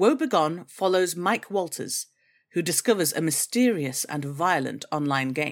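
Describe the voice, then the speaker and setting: A woman with a plain, everyday voice, fairly low in pitch, speaking at a fairly slow pace with lively intonation on a very clean recording with a silent background. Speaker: voice actor. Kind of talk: scripted podcast promo read.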